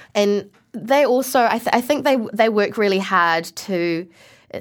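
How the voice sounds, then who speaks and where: A woman with a New Zealand accent, lively intonation and a moderate pace. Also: very clean recording, silent background. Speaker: actor. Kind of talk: interview.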